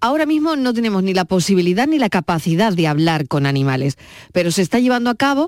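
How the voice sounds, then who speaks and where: This woman's medium-pitched voice swings very widely in pitch, recorded with a dry, close sound and no echo. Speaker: radio host. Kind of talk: radio talk show chat. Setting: studio.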